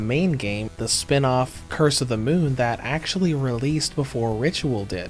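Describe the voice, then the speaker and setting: A man at a medium pitch and moderate pace, with ordinary pitch variation and hardly any pauses, music in the background. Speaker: video game reviewer. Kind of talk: scripted review narration.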